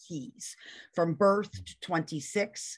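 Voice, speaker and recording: This woman's voice sits fairly low in pitch and moves with ordinary variation. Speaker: parent training coordinator. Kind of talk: webinar presentation. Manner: fast.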